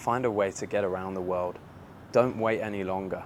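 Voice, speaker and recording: Speaking at a fairly quick pace, this voice has an English accent. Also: man. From England. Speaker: online business influencer. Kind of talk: casual vlog rant. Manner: animated.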